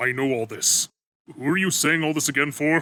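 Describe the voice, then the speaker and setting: A man's put-on character voice, fairly high-pitched and fairly quick, in a very clean recording with a silent background. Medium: fan dub. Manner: deadpan, dry.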